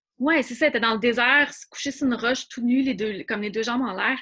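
A woman's very fast, fairly high-pitched speech with a bright, sharp tone, ordinary pitch variation, and a quiet background. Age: 40s. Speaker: former magazine editor. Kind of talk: casual interview.

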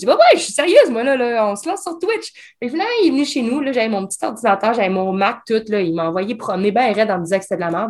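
Very fast and with a Quebec accent, a woman speaks in a fairly high pitch. Her voice makes very wide pitch swings. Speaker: escape game designer. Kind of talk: casual chat. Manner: talkative.

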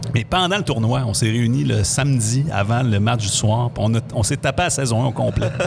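A man speaks with ordinary pitch variation and very even loudness. Noticeable background noise sits behind him. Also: medium pitch for a man, moderate pace. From Quebec, Saguenay (Chicoutimi). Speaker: radio host. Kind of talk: casual chat.

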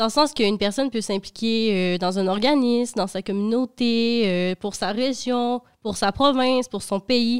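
A woman speaks at a moderate pace in an unremarkable speaking voice, her pitch fairly high with ordinary variation. The recording is very clean, with a silent background. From Quebec, Dolbeau-Mistassini. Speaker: intern. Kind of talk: casual chat.

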